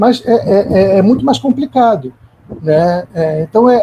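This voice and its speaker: A man with a high pitch and a dark, mellow tone speaks fairly slowly, his intonation lively. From Rio de Janeiro, Brazil. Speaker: philosopher. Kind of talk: academic panel discussion. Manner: halting, many repeated fillers.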